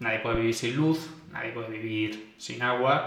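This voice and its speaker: Slow, fairly measured speech from a man at a medium pitch, with noticeable background noise and audible room echo. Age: 20s. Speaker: podcast host. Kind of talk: solo podcast monologue. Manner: casual with fillers.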